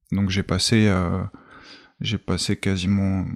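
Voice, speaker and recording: A man with a very deep, low pitch, fairly slow and monotone, flat delivery, in a very clean, dry, close recording with a silent background and no echo. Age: 30s. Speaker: ex-prisoner and volunteer. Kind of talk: testimony. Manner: halting, many repetitions and fillers.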